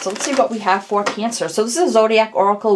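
With light background noise, a woman talks at a very fast pace. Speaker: tarot reader. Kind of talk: casual tarot reading intro.

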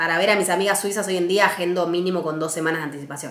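In a Rioplatense accent, a woman speaks with audible room echo around her. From Argentina, Buenos Aires. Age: 20s. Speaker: travel vlogger. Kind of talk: casual vlog monologue.

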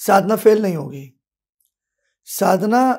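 A man with a high pitch at a very slow pace. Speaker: astrologer and spiritual teacher. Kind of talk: devotional talk. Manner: slow, with many pauses.

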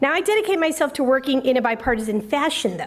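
A woman talks with a high pitch. Her pace is fairly quick. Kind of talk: public speech. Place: hall. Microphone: podium.

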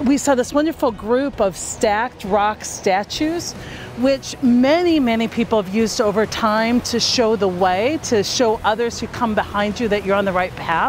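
A woman speaks at a moderate pace with ordinary pitch variation. Light background noise can be heard. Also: dry sound with no echo. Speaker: speaker. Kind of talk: reflective talk to camera. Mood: warm and reflective. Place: beach.

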